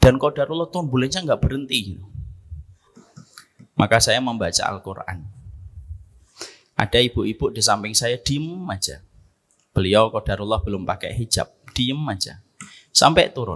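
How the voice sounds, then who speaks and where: A man at a medium pitch talks at a moderate pace with lively intonation. His loudness swings widely, and he takes long, frequent pauses. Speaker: Islamic preacher. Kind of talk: sermon.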